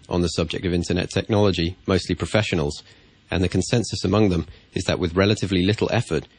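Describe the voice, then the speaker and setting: Speaking very fast, a man uses a very deep, low voice that is somewhat breathy. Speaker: science YouTuber. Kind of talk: spoken commentary voice-over. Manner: monotone.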